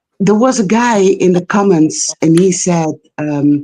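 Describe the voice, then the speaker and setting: At a very slow pace, a woman with a medium pitch and a dark, mellow tone speaks with very wide pitch swings. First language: not English. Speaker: caller on live stream. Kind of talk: call-in discussion. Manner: halting, many fillers.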